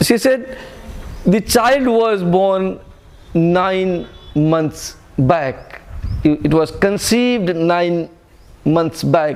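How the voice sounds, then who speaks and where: With an Indian accent, the speaker moves at a very slow pace, leaving long, frequent pauses. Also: man, high pitch for a man, very even loudness. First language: Hindi. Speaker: spiritual teacher. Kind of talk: spiritual talk to retreat group. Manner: halting, self-correcting.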